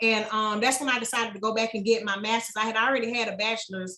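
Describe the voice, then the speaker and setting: A woman speaks in an American accent with a bright, sharp tone. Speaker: small business owner. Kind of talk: podcast interview. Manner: fast; casual.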